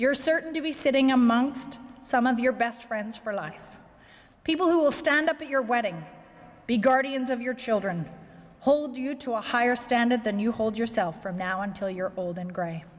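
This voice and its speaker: A woman speaks with a Canadian accent at a high pitch. Her pace is moderate and her intonation lively. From Canada, Victoria, British Columbia. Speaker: corporate executive. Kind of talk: keynote speech. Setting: banquet with audience.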